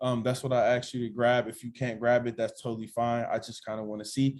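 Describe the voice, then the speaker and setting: A man talks fairly quickly. His delivery is monotone and flat. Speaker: trading mentor. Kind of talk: online class. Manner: fast; casual.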